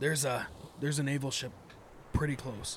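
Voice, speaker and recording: In a raspy, put-on character voice, a man talks fairly quickly at a fairly high pitch with monotone, flat intonation over clear background noise. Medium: actual play.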